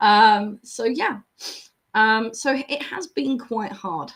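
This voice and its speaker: A woman speaks with a fairly high pitch. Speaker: small business owner. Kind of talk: casual talk to camera. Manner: chatty, hesitant.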